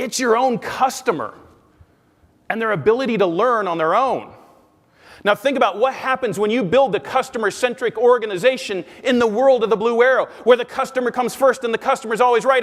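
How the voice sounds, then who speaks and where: A loud, animated man with a Midwestern US accent, his pitch extremely high, his pitch variation ordinary, his pace fairly quick. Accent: General American, Midwestern. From US Midwest, Omaha, Nebraska. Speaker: business researcher and sales speaker. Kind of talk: keynote talk. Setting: conference stage with audience.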